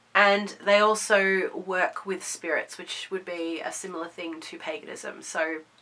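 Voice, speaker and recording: A woman's medium-pitched voice, fairly even in intonation, against noticeable background noise. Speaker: pagan video host. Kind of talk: casual talk to camera.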